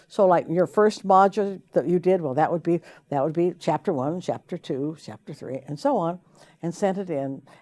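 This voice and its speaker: At a moderate pace, a woman with an American accent speaks in a fairly low pitch with a dark, mellow tone and ordinary pitch variation. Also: very clean recording, silent background. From US West, Idaho. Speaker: professor. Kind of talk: course introduction. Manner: halting.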